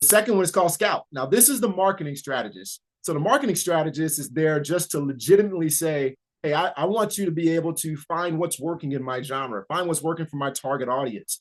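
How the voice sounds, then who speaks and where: Over a quiet background, a man talks at a very fast pace in a fairly high pitch with lively intonation. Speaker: writing workshop presenter. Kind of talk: tutorial. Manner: hesitant, many fillers.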